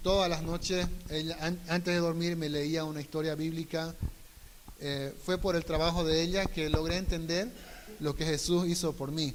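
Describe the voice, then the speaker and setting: A man speaks at a high pitch and a moderate pace in a monotone, flat intonation. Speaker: missionary trainee. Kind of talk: testimony.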